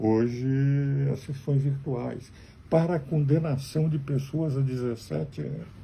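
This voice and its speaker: A man's somewhat breathy voice with a dark, mellow tone, fairly slow in pace, with ordinary pitch variation. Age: 80s+. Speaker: lawyer. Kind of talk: spoken commentary to camera.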